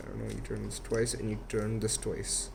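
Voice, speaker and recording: A man with a non-native accent talks in a room with audible room echo. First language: not English. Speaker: YouTuber teaching Rubik's cube. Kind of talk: tutorial.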